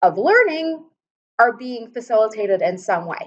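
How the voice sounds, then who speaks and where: A woman speaks with a high pitch. Her intonation is lively and her pace moderate. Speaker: biochemistry professor. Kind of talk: lecture. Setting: classroom.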